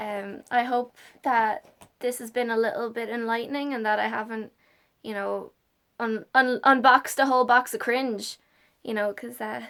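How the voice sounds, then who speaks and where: With an Irish accent, a woman speaks at a moderate pace in a fairly high, bright, sharp voice with monotone, flat intonation and big swings in loudness, recorded very cleanly against a silent background. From Ireland. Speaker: YouTuber. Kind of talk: casual vlog. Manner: halting.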